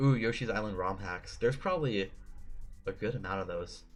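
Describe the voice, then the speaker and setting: A man talking at a fairly quick pace with ordinary pitch variation, music playing in the background. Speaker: streamer giving a presentation. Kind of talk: livestream presentation. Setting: live stream. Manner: casual, filler-heavy.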